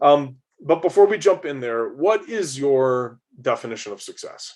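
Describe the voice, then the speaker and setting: A man in an ordinary speaking voice talks at a fairly high pitch, with lively intonation and big swings in loudness. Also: moderate pace. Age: 40s. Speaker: podcast host. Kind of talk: interview.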